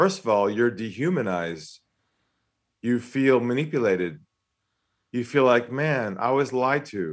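Pausing long and often at a fairly slow pace, a man with an American accent speaks at medium pitch with lively intonation, on a very clean recording with a silent background. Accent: American with slight expat Australian tinge. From San Diego, California. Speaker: sales trainer and author. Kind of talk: casual interview chat.

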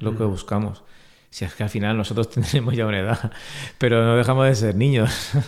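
A man with a normal speaking voice talks at a fairly quick pace with fairly even intonation on a very clean recording with a silent background. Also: medium pitch for a man. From Vega Baja, Alicante, Spain. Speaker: entrepreneur, engineer. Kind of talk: interview.

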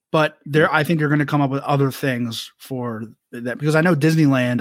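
Using a normal speaking voice, a man moves at a fairly quick pace, his medium pitch showing ordinary pitch variation. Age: 40s. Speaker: podcast host. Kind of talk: casual chat.

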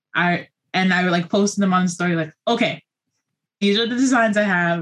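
A woman with an American accent, somewhat breathy, at a fairly quick pace with lively intonation. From New York City. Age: 20s. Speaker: small business owner and teacher. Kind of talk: casual chat. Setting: video call.

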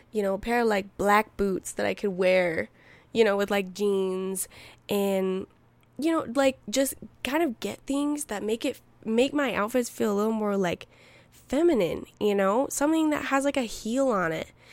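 The recording is very clean, with a silent background. A woman with an unremarkable speaking voice talks at a fairly high pitch and a moderate pace. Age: 20s. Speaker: podcast host. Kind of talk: casual solo chat. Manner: chatty, laughing, filler-heavy.

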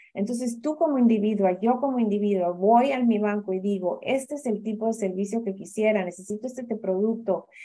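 A woman speaks at a fairly quick pace in a fairly high pitch, with ordinary pitch variation. Her tone is dark and mellow. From Honduras, San Pedro Sula. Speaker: development finance director. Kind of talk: interview. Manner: hesitant with fillers.

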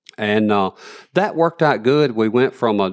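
The man speaks at a fairly quick pace with a Southern US accent and a fairly low pitch. The recording is very clean, with a silent background. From northern Alabama. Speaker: cotton gin field rep. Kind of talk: casual interview.

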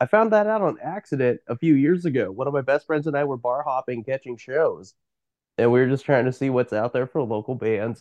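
A man with an American accent in a plain, everyday voice, medium-pitched, with lively intonation at a fairly quick pace, against a quiet background with a dry, close sound and no echo. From Eastern Oregon. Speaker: band musician. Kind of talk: casual interview chat.

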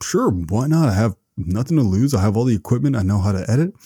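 Somewhat breathy and dark, mellow in tone, the voice moves in very wide pitch swings on a very clean recording with a silent background and a dry, close sound with no echo. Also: man. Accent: Canadian. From Canada. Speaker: podcaster. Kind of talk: casual interview. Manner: modest, warm.

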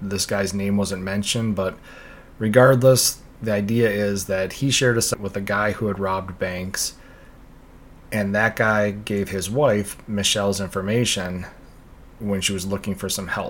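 A man speaks in a plain, everyday voice at a fairly low pitch, keeping a moderate pace and fairly even intonation. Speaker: true crime podcast host. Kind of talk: true-crime narration, reading case details aloud. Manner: steady, serious storytelling.

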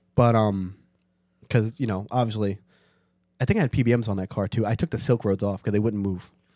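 A man's fairly low, dark, mellow voice with a New York accent, fairly quick pace, long, frequent pauses and fairly even intonation, on a very clean recording with a silent background. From New York City (Staten Island). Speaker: car enthusiast. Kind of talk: casual chat.

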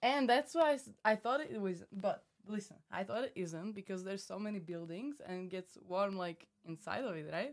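With a Slovak accent, a woman speaks at a moderate pace and medium pitch, her intonation lively and hardly any pauses between words. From Slovakia. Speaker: reality TV contestant. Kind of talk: casual chat.

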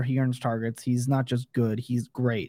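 A man's voice with a dry, close sound and no echo. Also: very clean recording, silent background. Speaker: fantasy football analyst. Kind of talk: casual chat. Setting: live video stream. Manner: loud; animated.

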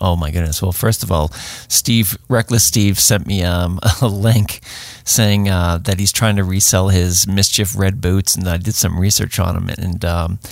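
A man with a Boston accent, very deep and low in pitch, at a fairly slow pace with fairly even intonation. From Boston area. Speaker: hiking and search and rescue podcast host. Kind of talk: casual chat.

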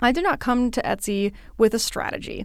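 A woman speaks with vocal fry and ordinary pitch variation. The recording is very clean, with a silent background. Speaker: podcast host and independent artist. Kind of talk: casual solo podcast monologue. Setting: recording studio at local library. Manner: animated.

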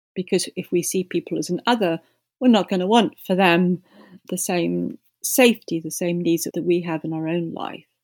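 A woman with a southern English accent speaks at a moderate pace and a fairly low pitch, with ordinary pitch variation. The recording is very clean with a silent background and a dry, close sound with no echo. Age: 60s. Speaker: peace activist. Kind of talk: interview.

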